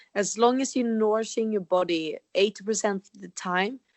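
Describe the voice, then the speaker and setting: A woman talks at a moderate pace with a fairly high pitch. She speaks with a Swedish accent. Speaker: holistic health coach, podcast co-host. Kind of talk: casual chat.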